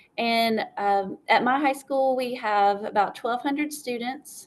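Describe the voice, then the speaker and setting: A woman speaks very slowly in a South Carolina accent. Her pitch is fairly high, with ordinary variation. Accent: Southern US (South Carolina). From upstate South Carolina. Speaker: school librarian. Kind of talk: interview. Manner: hesitant, many fillers.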